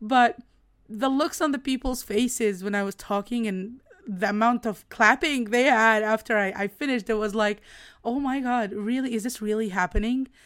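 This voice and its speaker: On a very clean recording with a silent background, a woman with an Egyptian accent speaks at a fairly high pitch in an animated, enthusiastic tone. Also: ordinary pitch variation, moderate pace. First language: Arabic. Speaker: podcast host and business coach. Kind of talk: casual solo podcast monologue. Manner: animated, enthusiastic, occasionally halting.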